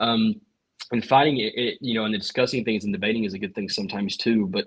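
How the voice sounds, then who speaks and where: A man's very fast delivery with ordinary pitch variation. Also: medium pitch for a man. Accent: Southern. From US South, Appalachia (East Tennessee). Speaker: local politician. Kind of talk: podcast interview. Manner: halting, many repeated words.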